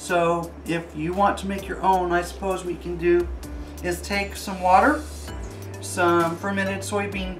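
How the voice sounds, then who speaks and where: A man speaks over faint music in the background. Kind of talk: tutorial. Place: kitchen.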